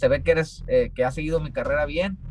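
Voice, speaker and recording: A man speaks with music in the background. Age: 20s. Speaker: professional boxer. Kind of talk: interview. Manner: halting, many repetitions.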